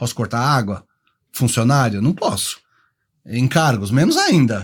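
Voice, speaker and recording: Recorded very cleanly with a silent background, a man speaks at a medium pitch, somewhat breathy, with ordinary pitch variation. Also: fairly slow pace. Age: 60s. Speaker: professional condo manager. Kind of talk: podcast interview.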